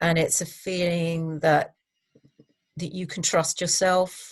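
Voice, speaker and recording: Her voice somewhat breathy and fairly low, a woman speaks at a very slow pace. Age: 60s. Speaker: public speaker and coach. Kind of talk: interview conversation.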